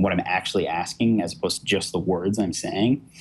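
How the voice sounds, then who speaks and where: With ordinary pitch variation, a man talks fairly quickly in a Brooklyn accent. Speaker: tech journalist. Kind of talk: interview. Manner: many fillers (um, you know).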